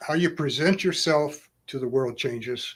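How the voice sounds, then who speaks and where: This man speaks at a very slow pace with a fairly high pitch. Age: 70s. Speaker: karate grandmaster. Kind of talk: live-stream Q&A. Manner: halting.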